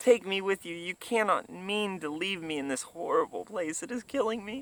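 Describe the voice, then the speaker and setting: Here a man uses a put-on character voice. It sits high in pitch and moves at a moderate pace. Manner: pleading, desperate.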